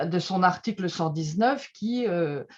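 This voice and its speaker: Speaking at a very slow pace, a woman with a medium pitch lets it swing very widely. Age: 60s. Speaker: trade unionist and association board member. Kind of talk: testimony. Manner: halting, many filler sounds.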